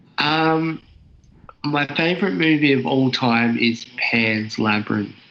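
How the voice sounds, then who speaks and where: A man with an Australian accent, medium in pitch, with lively intonation, very even loudness and a very slow pace. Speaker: YouTuber. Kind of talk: casual chat. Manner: halting.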